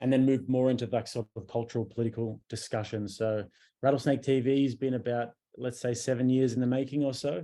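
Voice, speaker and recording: A man speaks with an Australian accent at a very fast pace. His medium-pitched voice is dark and mellow, with a monotone, flat delivery. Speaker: podcaster and YouTuber. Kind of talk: interview conversation.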